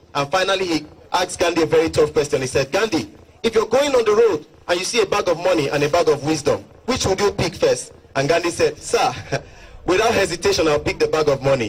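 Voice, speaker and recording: Delivered at a very fast pace, the speech has lively intonation and very even loudness over noticeable background noise. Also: man. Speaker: motivational speaker. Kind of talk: storytelling within a motivational speech.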